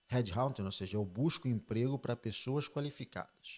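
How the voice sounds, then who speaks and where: A man talks at a fairly slow pace in a normal speaking voice. His pitch variation is ordinary. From Spain (Oviedo, Fuengirola) until 12, then Brazil. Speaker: financial advisor. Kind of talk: interview conversation.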